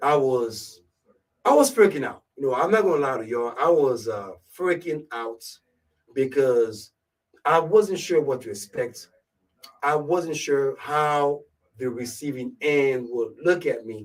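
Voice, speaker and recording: Pausing long and often at a fairly slow pace, a man with a strong Ivorian accent speaks in a fairly high pitch with lively intonation. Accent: thick West African (Ivorian). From Ivory Coast, West Africa. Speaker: radio show host / DJ. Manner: casual, conversational.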